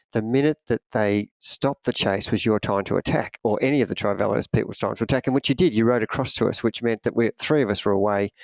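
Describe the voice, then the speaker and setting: On a very clean recording with a silent background and a dry, close sound with no echo, a man speaks very fast at medium pitch with ordinary pitch variation. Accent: Australian. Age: 60s. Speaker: triathlon coach. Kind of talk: casual podcast chat.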